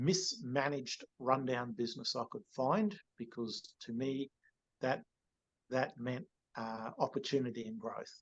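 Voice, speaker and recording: A man talks with an Australian accent. His pace is very slow. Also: dry, close sound with no echo. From Cairns, Queensland, Australia. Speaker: real estate agency CEO. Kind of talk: podcast interview answer. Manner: casual, conversational.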